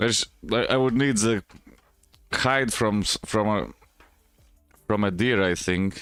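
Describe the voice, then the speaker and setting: With music in the background, a man of fairly low pitch speaks at a fairly slow pace with very even loudness, ordinary pitch variation and long, frequent pauses. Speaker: chess streamer. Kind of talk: live game commentary. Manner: halting, many repetitions.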